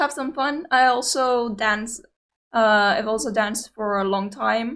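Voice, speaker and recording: At a fairly slow pace, a woman with a Greek accent speaks at a fairly high pitch with ordinary pitch variation, in a very clean recording with a silent background. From Cyprus. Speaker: YouTube reaction video creator. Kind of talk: casual reaction commentary. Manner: hesitant, many fillers.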